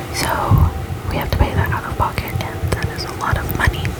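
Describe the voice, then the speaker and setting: Whispering at a moderate pace, a woman can be heard through noticeable background noise. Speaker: ASMR creator. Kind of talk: ASMR life update talk. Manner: whispered, close to the mic.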